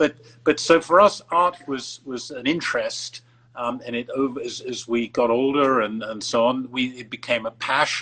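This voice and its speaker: With an English accent, a man speaks at a moderate pace and medium pitch, his bright, sharp tone showing ordinary pitch variation and big swings in loudness. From England. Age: 70s. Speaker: art collector. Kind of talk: interview. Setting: Instagram live video call. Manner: halting, many fillers.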